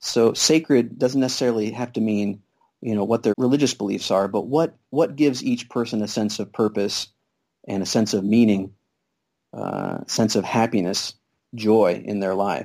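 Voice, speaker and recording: At a moderate pace, a man speaks in a dark, mellow tone at medium pitch with ordinary pitch variation. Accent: Midwestern American. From Kansas. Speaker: family physician and free clinic volunteer. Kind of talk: interview. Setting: Skype call.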